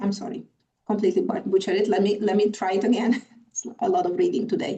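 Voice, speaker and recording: This is a woman's voice at medium pitch. Its tone is dark and mellow. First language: Hungarian. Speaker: conference moderator. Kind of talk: panel moderation. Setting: video call.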